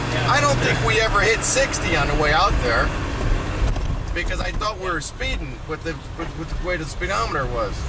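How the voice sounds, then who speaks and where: Loud background noise fills the clip. The speaker talks at a fairly quick pace. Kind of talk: casual conversation. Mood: relaxed, joking. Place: car.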